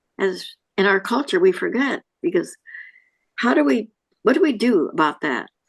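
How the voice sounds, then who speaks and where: A woman with vocal fry speaks at a moderate pace, her pitch swinging very widely, with long, frequent pauses. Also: fairly high pitch for a woman. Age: 90s. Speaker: audience member. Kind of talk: group discussion. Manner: halting.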